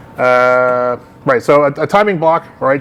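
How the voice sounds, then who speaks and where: Noticeable background noise sits under a man speaking in a fairly high pitch with ordinary pitch variation. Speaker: meetup organizer and tech presenter. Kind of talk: technical talk with Q&A. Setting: live meetup in a gallery with audience. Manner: fast.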